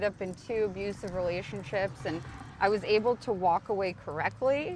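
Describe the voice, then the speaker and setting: Through noticeable background noise, a woman's words come at a moderate speed. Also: medium pitch for a woman, ordinary pitch variation. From Ukraine, raised in the United States. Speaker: recovering addict, addiction support helper. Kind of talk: interview answer. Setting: outdoors. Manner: quiet, calm.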